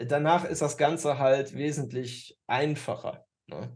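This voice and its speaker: The man's fairly high voice stays monotone, with flat intonation. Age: 30s. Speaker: dating coach podcast co-host. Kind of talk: casual chat. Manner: halting, many fillers.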